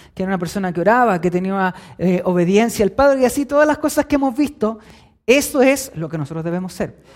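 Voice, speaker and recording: A man with a Chilean accent talks at a high pitch. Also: very clean recording, silent background. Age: 20s. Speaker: preacher. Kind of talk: sermon.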